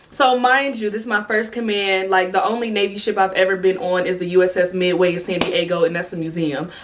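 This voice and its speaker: Animated in tone, a woman speaks fairly quickly at a medium pitch with ordinary pitch variation amid noticeable background noise. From California. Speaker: YouTuber, Navy veteran. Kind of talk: storytime vlog. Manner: animated, casual.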